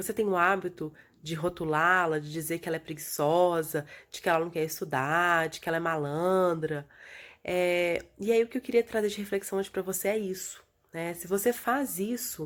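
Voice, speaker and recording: A soft-spoken woman with a fairly low pitch is heard on a very clean recording with a silent background. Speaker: educational video host. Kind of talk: vlog talk to viewers. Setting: recorded from bed at home. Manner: soft, low.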